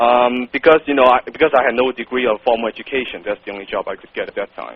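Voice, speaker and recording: A man talks at a very fast pace with a strong non-native accent. His intonation is fairly even while his loudness swings widely. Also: medium pitch for a man. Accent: thick non-native. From Hong Kong. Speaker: copywriter, business owner. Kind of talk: interview. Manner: blunt, direct.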